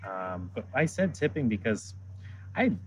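A fairly low male voice, somewhat breathy. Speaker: chef at culinary institute. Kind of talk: casual interview chat.

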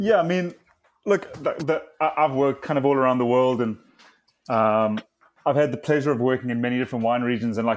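With music playing in the background, a man speaks in a South African accent at a fairly quick pace. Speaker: wine entrepreneur. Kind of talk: interview.

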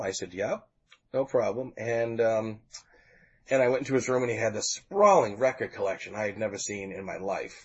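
At a fairly quick pace, a man talks in a plain, everyday voice of medium pitch. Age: 40s. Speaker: music fan telling his story. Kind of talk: casual interview.

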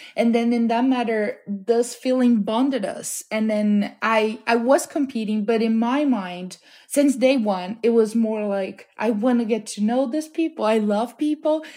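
With a Portuguese accent, a woman speaks in a dark, mellow tone at a fairly high pitch, keeping a fairly slow pace with hardly any pauses. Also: ordinary pitch variation. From Brazil (Amazon region). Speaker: home cook, cooking competition winner. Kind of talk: interview.

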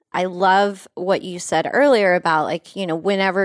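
Speaking at a moderate pace, a woman with an American accent uses a medium-pitched voice, an unremarkable speaking voice. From West Texas. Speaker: podcast host, cannabis lifestyle guide. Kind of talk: casual chat. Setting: studio.

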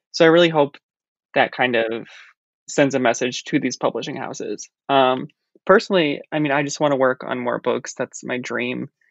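A man speaks in an ordinary speaking voice at medium pitch. His pace is moderate, with ordinary pitch variation. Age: 20s. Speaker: food writer and cookbook author. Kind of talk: interview.

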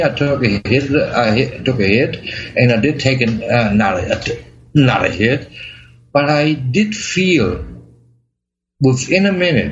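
With a German accent, a man of medium pitch speaks at a fairly slow pace and with lively intonation. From Germany. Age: 50s. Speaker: chronic pain patient. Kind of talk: interview. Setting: remote call. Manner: halting.

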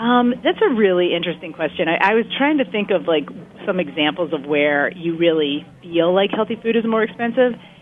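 Over noticeable background noise, a woman with a medium pitch speaks at a fairly quick pace with lively intonation. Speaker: research center director. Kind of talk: expert interview discussion.

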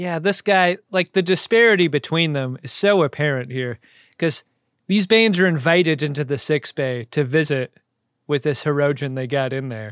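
In an ordinary speaking voice, a man with fairly high pitch talks at a moderate pace with lively intonation, the sound dry and close with no echo on a very clean recording with a silent background. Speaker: podcast co-host. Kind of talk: casual chat.

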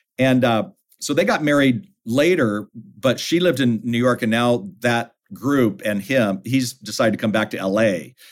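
A plain, everyday voice: a man at medium pitch and a moderate pace, with lively intonation. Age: 60s. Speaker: author and family ministry leader. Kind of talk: casual chat. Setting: studio.

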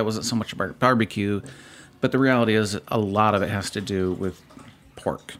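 A man speaks at a fairly quick pace with a Midwestern US accent. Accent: US Midwest. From Southeast Michigan. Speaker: barbecue competitor. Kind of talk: casual chat.

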